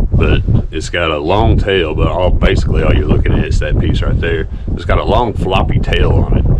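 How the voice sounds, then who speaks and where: Audible room echo and noticeable background noise accompany a man who speaks fairly quickly. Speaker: fishing vlogger. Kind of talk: casual outdoor vlog narration. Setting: outdoors at a pond. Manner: casual, animated.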